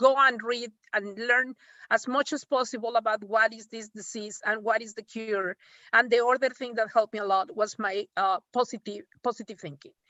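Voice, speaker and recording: A woman talks at a moderate pace with a fairly high pitch and fairly even intonation. Her loudness swings widely. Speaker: breast cancer survivor. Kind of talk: testimony. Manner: halting.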